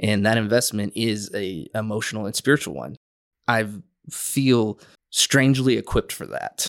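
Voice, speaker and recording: An unremarkable speaking voice from a man, medium pitch, ordinary pitch variation, moderate pace and big swings in loudness, with a dry, close sound with no echo and a very clean recording with a silent background. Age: 30s. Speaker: youth pastor. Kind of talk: casual chat.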